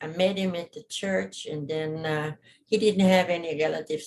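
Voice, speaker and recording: A woman with a fairly low voice speaks at a moderate pace, her intonation fairly even. Her loudness swings widely. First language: German. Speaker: witness in probate hearing. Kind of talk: court testimony. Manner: halting.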